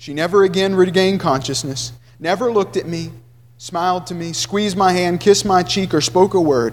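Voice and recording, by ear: A text read out loud, the voice natural throughout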